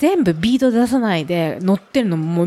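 Her pitch swings very widely as a woman speaks over noticeable background noise. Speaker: bicycle company representative. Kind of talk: casual chat.

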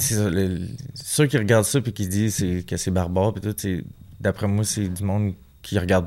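Fairly low in pitch, a man speaks with a dark, mellow tone and ordinary pitch variation. His pace is fairly slow, with long, frequent pauses. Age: 20s. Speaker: professional boxer. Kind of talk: casual interview.

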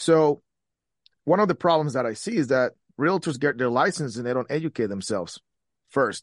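Against a quiet background, a man speaks at a fairly high pitch with lively intonation and long, frequent pauses. His pace is moderate, and the sound is dry and close with no echo. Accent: Spanish. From Guatemala. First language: Spanish. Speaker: real estate agent and entrepreneur. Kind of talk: casual interview.

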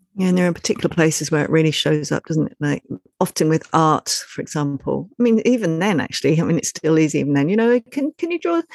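A woman's very fast, fairly low delivery with lively intonation and a dry, close sound with no echo. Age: 50s. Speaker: podcast co-host, parenting educator. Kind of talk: casual chat.

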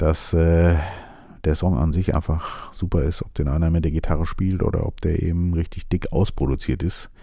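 A soft-spoken man with a very deep, low pitch and a dark, mellow tone. He talks at a moderate pace with fairly even intonation. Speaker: podcast host. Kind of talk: casual monologue. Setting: studio.

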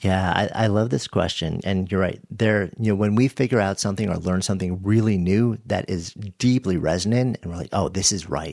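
Barely pausing, a man talks at a fairly quick pace in a plain, everyday voice. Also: fairly low pitch for a man, ordinary pitch variation. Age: 50s. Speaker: author and podcaster. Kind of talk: interview conversation.

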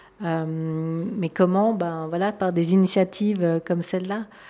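A dark, mellow tone comes at a fairly slow pace with ordinary pitch variation. The recording is very clean, with a silent background. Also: woman. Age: 40s. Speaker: entrepreneur. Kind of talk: interview. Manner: halting.

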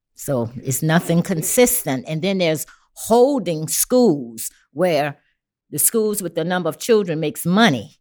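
A woman with a New Orleans accent speaks fairly slowly in a fairly low voice, with very wide pitch swings. The recording is very clean, with a silent background. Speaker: community activist. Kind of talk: casual chat. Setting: studio.

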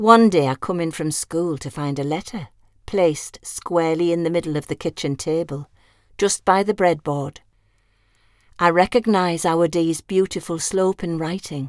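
A woman in a plain, everyday voice, with ordinary pitch variation and a dry, close sound with no echo. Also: fairly low pitch for a woman, moderate pace. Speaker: audiobook narrator. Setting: studio. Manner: measured storyteller pace, warm and wistful, dry affectionate humour.

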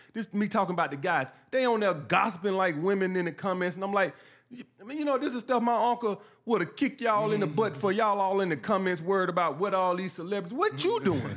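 Talking at a very fast pace, a man with an American accent has a high pitch and ordinary pitch variation. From New York. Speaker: YouTube dating advice commentator. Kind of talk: casual interview chat.

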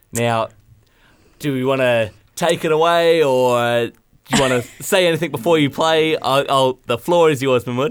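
A man with an Australian accent and a fairly high voice speaks at a moderate pace with ordinary pitch variation and long, frequent pauses, on a very clean recording with a silent background. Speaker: radio host. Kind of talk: casual radio chat. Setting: studio.

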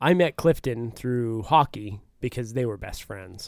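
A man with an American accent has an unremarkable speaking voice at medium pitch with ordinary pitch variation. He speaks at a moderate pace in a very clean recording with a silent background. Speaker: podcast co-host. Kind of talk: casual chat.

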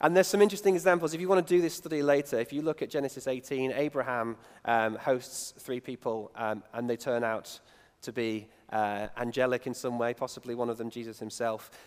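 His intonation is lively. This man talks fairly quickly. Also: medium pitch for a man. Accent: northern English. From northern England. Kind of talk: sermon. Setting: church. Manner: halting.

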